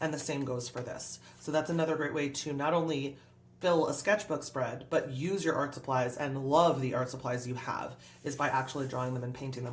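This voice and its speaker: An animated tone with ordinary pitch variation, amid audible room echo and noticeable background noise. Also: woman. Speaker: art YouTuber. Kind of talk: tutorial. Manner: fast.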